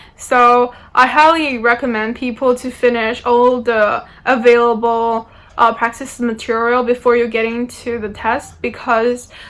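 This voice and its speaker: Speaking with a non-native accent, a woman uses a high pitch. Her intonation is monotone and flat. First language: not English. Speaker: university student. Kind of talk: informational talk. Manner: hesitant, many fillers.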